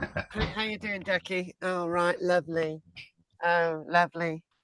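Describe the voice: Squeaky and set at a middle pitch, this put-on character voice moves at a moderate pace.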